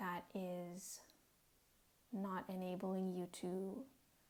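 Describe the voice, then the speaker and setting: A soft-spoken woman talks at a medium pitch. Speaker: tarot and oracle card reader. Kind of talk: oracle card reading. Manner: soft-spoken, relaxing.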